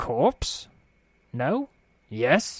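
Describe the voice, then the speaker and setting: In a put-on character voice, a man mumbles at a high pitch. The sound is dry and close, with no echo. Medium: read story. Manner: mumbling, lip-smacking, sly.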